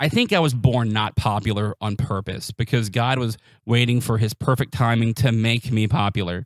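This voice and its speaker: A man with an American accent speaks at a moderate pace with fairly even intonation, his sound dry and close with no echo on a very clean recording with a silent background. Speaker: amateur stand-up comedian. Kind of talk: stand-up.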